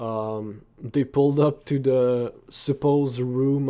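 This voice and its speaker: A man speaks at a medium pitch with a non-native accent, his dark, mellow tone carried on fairly even intonation. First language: not English. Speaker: anime reaction YouTuber. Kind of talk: casual reaction commentary, reading manga aloud. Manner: hesitant, many fillers.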